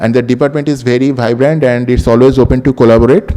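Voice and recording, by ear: At a fast pace, a man speaks in a dark, mellow tone. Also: medium pitch for a man, fairly even intonation.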